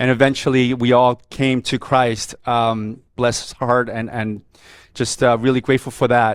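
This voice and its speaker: Someone with a Korean accent talks at a fairly slow pace in a monotone, flat intonation, captured in a very clean recording with a silent background. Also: man, medium pitch for a man. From South Korea (Seoul), raised in New York from age seven. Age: 50s. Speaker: media executive speaking at a men's fellowship. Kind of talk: testimony.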